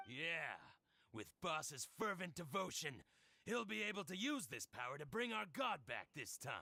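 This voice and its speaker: Here a man puts on a character voice at a high pitch. He keeps a moderate pace. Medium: video game. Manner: confident, fervent.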